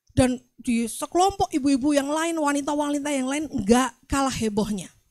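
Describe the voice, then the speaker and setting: In a Javanese accent, a woman with a high pitch speaks at a moderate pace using ordinary pitch variation. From Central Java, Magelang. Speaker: pastor. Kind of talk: sermon.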